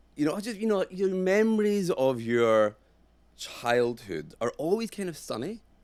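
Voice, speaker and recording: Speaking at a moderate pace in a Glaswegian accent, the voice moves through very wide pitch swings. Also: man, high pitch for a man. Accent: Glaswegian Scottish. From Scotland, Glasgow. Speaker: actor and director. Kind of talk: casual chat. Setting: studio.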